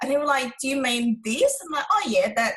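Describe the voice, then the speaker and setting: A woman speaks with a Vietnamese accent. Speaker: relationship coach. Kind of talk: interview.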